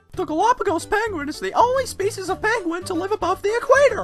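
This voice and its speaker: A squeaky, cartoonish character voice rattles along at a very fast pace. Faint music plays in the background. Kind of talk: comic overacting. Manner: boisterous, theatrical, laughing.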